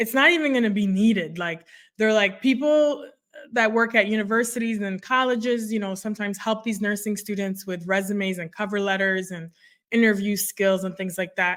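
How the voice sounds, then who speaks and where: Here a woman speaks in a medium pitch. Her pace is moderate. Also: very clean recording, silent background. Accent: French. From Canada, border city near Detroit (born Ivory Coast, moved at nine). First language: French. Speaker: nurse career coach. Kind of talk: interview.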